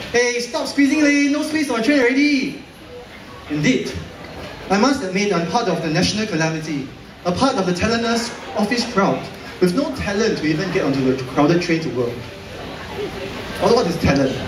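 A high-pitched man at a fairly quick pace, with very wide pitch swings over noticeable background noise. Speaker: slam poet. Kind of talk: slam poetry performance. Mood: wry, satirical. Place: hall.

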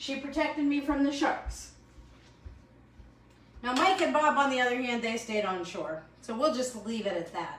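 A woman speaks at a moderate pace with a fairly high pitch and ordinary pitch variation. Her tone is fairly bright, and the room echo is audible.

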